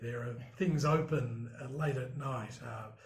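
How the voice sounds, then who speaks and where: Audible room echo surrounds a man speaking at a medium pitch with vocal fry. He talks at a fairly slow pace. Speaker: broadcast journalist. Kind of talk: interview. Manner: hesitant, many fillers.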